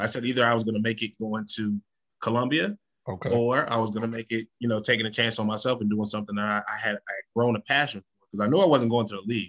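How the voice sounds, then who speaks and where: An American-accented man talks at a very fast pace with a medium pitch and fairly even intonation. His loudness swings widely, and the sound is dry and close with no echo. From Northern Illinois, Freeport. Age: 30s. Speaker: retired barber, educator and author. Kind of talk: casual interview.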